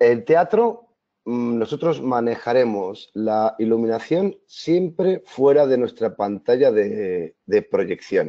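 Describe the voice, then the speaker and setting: A man speaks very slowly at a medium pitch, his voice swinging very widely up and down. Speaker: video mapping artist and presenter. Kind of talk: webinar presentation. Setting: online webinar.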